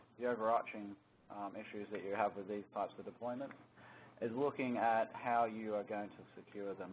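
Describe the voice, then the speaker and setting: Speaking at a moderate pace, a man with an Australian accent has a medium pitch. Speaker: security solutions architect presenting a webinar. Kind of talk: technical webinar presentation. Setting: conference call. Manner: hesitant, many fillers (um, uh).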